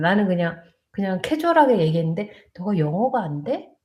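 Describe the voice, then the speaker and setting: A woman's somewhat breathy, dark and mellow voice at medium pitch, fairly quick, with lively intonation. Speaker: nurse. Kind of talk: live stream chat. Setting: live stream on borrowed laptop. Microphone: laptop mic, unsure if audio works.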